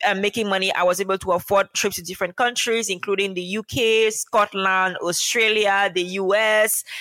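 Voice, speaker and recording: A woman's bright, sharp tone comes through at a medium pitch with very even loudness. The sound is dry and close, with no echo. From Cameroon. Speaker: medical doctor and remote work teacher. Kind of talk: interview. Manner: animated.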